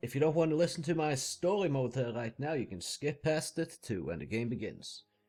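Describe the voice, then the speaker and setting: A man with lively intonation at a moderate pace, music playing behind him. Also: hardly any pauses. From Norway. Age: 30s. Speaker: gaming YouTuber. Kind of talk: casual gameplay commentary intro. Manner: hesitant, many filler words.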